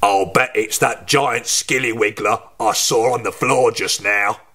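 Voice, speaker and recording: A man puts on a raspy character voice at a medium pitch. He talks at a fairly slow pace with fairly even intonation. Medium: read story. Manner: sneering, mischievous.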